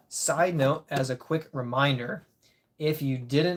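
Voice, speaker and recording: A man's somewhat breathy voice, fairly high in pitch, with fairly even intonation and a fairly slow pace. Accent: American. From Michigan (Grand Rapids area). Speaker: disc golf content creator, live streamer. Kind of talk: casual live stream chat. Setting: live stream.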